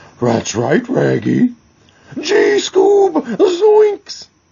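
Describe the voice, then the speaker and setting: This is a put-on character voice. The man pitches it extremely high. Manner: goofy, cartoonish.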